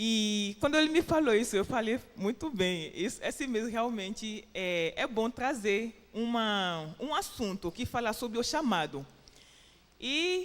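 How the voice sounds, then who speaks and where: At a very slow pace, a woman with a fairly high voice lets her pitch swing very widely. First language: French or English (Portuguese learned in Brazil) (speaking Portuguese). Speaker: preacher. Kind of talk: sermon. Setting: church. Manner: halting.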